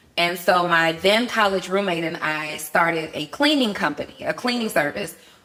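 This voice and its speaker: Over noticeable background noise, a woman speaks in an animated tone at a medium pitch. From Atlanta, Georgia (born New Orleans). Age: 40s. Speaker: entrepreneur. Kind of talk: podcast interview, personal testimony.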